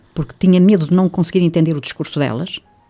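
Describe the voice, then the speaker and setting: A woman speaks at a fairly low pitch with ordinary pitch variation, music playing in the background. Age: 80s+. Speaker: reiki teacher. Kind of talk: radio interview.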